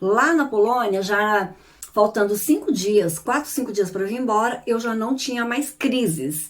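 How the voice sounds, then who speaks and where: A woman talks in a normal speaking voice at a moderate pace. Her pitch is fairly high and her intonation lively. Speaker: YouTuber and therapist. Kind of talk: casual vlog talk.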